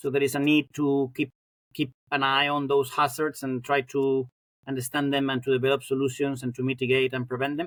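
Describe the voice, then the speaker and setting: Speaking at a fairly quick pace, a man holds a fairly high pitch with monotone, flat intonation, recorded dry and close with no echo. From Spain (Madrid). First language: Spanish. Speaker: professor of fire science. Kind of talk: interview. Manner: halting, many repetitions and fillers.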